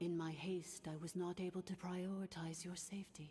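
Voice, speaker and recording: Over clear background noise, a female-sounding voice does a put-on character at a fairly low pitch for a woman, moderate in pace and monotone with flat intonation. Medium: video game. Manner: calm, formal.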